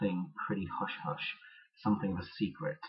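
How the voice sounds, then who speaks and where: A man speaks quietly at a moderate pace, his fairly low voice somewhat breathy. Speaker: video blogger. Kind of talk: vlog monologue. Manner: quiet, low energy; halting, many fillers.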